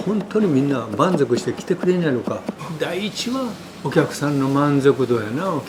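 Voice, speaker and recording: Noticeable background noise sits under speech that has lively intonation and a moderate pace. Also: man, fairly high pitch for a man. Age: 70s. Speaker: Chinese restaurant chef and owner. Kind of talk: interview answer.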